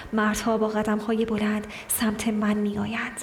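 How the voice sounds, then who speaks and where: Over music in the background, a woman with a fairly high voice speaks at a fairly slow pace in an intense tone. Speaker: audiobook narrator. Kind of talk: literary audiobook reading, dramatic first-person monologue of a hunted woman. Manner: intense, brooding, sorrowful.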